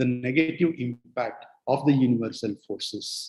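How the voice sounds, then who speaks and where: A somewhat breathy man at a fairly slow pace, with lively intonation. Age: 60s. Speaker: spiritual speaker. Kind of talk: lecture. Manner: halting.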